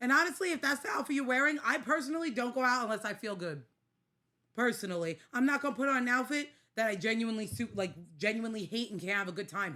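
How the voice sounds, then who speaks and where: A woman with a New York accent talks at a very fast pace in a fairly high, bright, sharp voice with very wide pitch swings. Her tone is animated, and the recording is very clean with a silent background. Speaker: podcast co-host. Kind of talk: casual chat.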